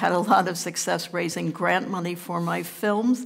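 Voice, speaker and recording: A woman's fairly low pitch in a New York accent. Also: quiet background. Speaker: documentary producer. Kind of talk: panel discussion. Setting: stage with audience. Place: stage. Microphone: headset.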